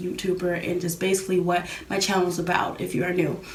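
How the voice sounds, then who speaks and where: A woman speaks at a medium pitch and a fairly quick pace. Room echo is audible, and there is noticeable background noise. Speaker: YouTuber. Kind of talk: casual talk to camera. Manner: fast; hesitant with fillers.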